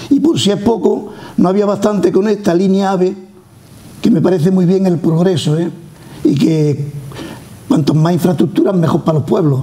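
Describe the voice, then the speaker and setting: A man speaks at a high pitch with ordinary pitch variation and very even loudness. He keeps a moderate pace broken by long, frequent pauses. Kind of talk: interview answer. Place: studio.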